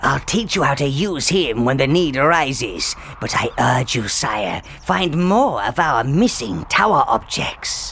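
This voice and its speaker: A put-on character voice moves at a fairly slow pace with hardly any pauses over clear background noise. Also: man, fairly high pitch for a man. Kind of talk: comic villainy. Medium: video game. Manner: fawning, fussy.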